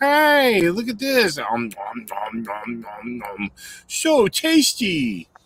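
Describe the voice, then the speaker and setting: Speaking very slowly, a man performs a put-on character voice. That voice sits high in pitch. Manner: cutesy, gleeful.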